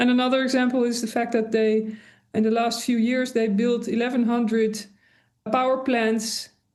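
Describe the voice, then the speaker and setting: Fairly slow, monotone, flat speech from a woman with a fairly high pitch and a Dutch accent. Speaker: industrial designer and sustainability author. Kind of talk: interview. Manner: hesitant, many fillers.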